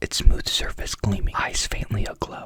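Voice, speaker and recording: A woman whispering at a moderate pace amid noticeable background noise. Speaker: ASMR creator. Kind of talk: whispered ASMR story reading, sleep story.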